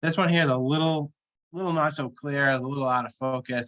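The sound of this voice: A man speaks at a fairly quick pace with a fairly bright tone.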